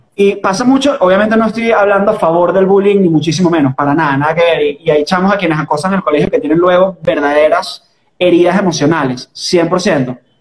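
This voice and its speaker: A man with a Caracas Venezuelan accent speaks at a fairly quick pace with hardly any pauses. His pitch is high with ordinary variation, and his loudness stays very even. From Venezuela, Caracas. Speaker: podcast host. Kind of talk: casual chat.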